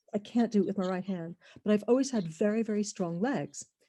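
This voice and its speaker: This woman's voice has a somewhat breathy quality. Her speech keeps a moderate pace. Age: 60s. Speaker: webinar attendee asking a question. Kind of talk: audience question in a webinar Q&A. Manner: halting.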